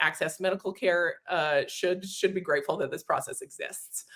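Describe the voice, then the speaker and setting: A woman talks at a fairly quick pace in a slight Canadian accent. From Canada, Edmonton, Alberta. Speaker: demand generation marketer. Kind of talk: webinar interview. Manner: hesitant with many fillers.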